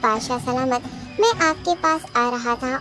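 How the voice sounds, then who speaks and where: A female-sounding, cartoonish character voice pitched high goes at a moderate pace while music plays clearly in the background. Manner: deferential, flattering.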